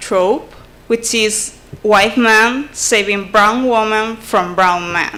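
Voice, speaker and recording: A woman talks at a very slow pace in a Spanish accent, her pitch fairly high with ordinary variation. Noticeable background noise and audible room echo fill the recording. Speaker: conference presenter. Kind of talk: academic presentation. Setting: conference. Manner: halting, frequent self-corrections.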